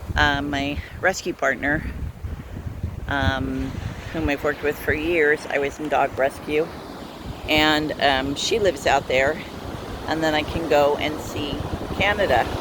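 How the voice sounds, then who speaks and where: Amid noticeable background noise, a woman with a very deep, low pitch talks at a fairly slow pace with fairly even intonation and long, frequent pauses. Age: 60s. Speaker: van life vlogger. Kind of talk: casual vlog monologue. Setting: outdoors by the sea, walking dogs. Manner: halting.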